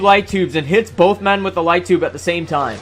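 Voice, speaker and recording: Music plays in the background as a man with a high pitch talks at a fairly quick pace with fairly even intonation. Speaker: wrestling commentary YouTuber. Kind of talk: casual profane match recap narration.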